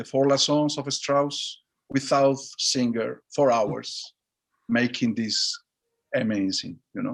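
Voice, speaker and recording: Speaking at a very slow pace with long, frequent pauses, a man with a Spanish accent uses a fairly high pitch. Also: ordinary pitch variation. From Basque Country, Spain. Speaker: orchestra conductor. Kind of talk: interview answer over video call. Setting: video call. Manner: soft-spoken, open, warm.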